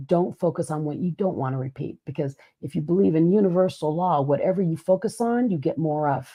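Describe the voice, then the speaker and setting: Using a plain, everyday voice, a woman with a fairly low pitch talks at a fairly quick pace with lively intonation and hardly any pauses. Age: 50s. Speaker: podcast co-host, keynote speaker. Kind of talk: casual chat.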